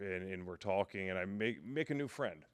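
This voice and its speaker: A man's booming voice comes at a fairly low pitch with ordinary variation. He speaks at a moderate pace in a very clean recording with a silent background. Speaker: podcast guest sharing faith testimony. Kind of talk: testimony.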